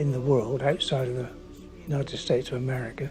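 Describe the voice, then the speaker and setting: Music plays in the background as a man speaks in a British accent. His intonation is fairly even. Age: 80s+. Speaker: retired bridge design engineer. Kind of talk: interview testimony.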